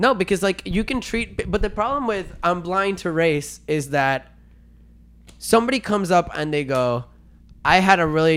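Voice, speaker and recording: On a very clean recording with a silent background, someone with a Spanish accent speaks at a moderate pace with lively intonation. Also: man. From Venezuela. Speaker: podcast co-host. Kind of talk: casual debate. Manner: animated.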